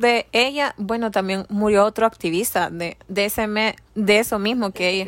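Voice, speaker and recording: A woman's fairly high pitch in an ordinary speaking voice, at a moderate pace, with a dry, close sound and no echo. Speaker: podcast co-host. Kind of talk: casual chat.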